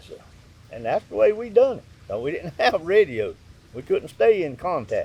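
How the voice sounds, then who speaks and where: A man with a Southern US accent talks at a moderate pace, leaving long, frequent pauses. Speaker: dog hunter. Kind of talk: interview answer. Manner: matter-of-fact.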